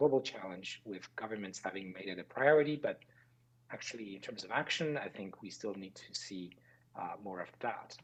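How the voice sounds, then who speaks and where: A man's unremarkable speaking voice, fairly quick, with lively intonation. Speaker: conference panelist on AI and public health. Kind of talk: conference presentation.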